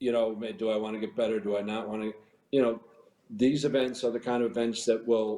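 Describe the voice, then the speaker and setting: The man's voice sits at medium pitch with a dark, mellow tone. He talks at a fairly quick pace in a flat monotone. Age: 60s. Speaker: former professional golfer. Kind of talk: interview. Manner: halting, many repetitions.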